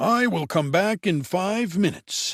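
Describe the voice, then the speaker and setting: A man performs a put-on character voice at a high pitch with lively intonation. He keeps a moderate pace in a very clean recording with a silent background. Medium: read story. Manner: warm, easily impressed.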